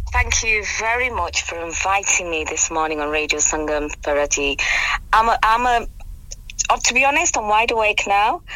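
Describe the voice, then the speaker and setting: Over noticeable background noise, a woman with a fairly high pitch speaks at a moderate pace, her pitch swinging very widely. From England. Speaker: amateur actress in a drama cast. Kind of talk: radio interview, casual chat. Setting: radio studio.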